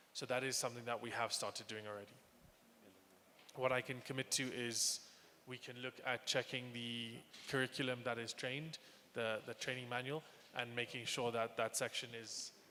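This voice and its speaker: Bright and sharp in tone, a man with an English accent speaks at a medium pitch and a moderate pace. His delivery is a flat monotone with long, frequent pauses. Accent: sounds quite English. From Kenya. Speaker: panel moderator, transport company manager. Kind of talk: panel discussion.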